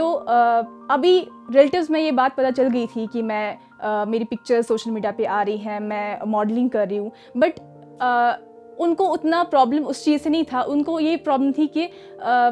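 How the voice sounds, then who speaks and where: Music plays in the background as a woman speaks with a high voice and lively intonation. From Kashmir. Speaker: actress. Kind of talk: motivational talk.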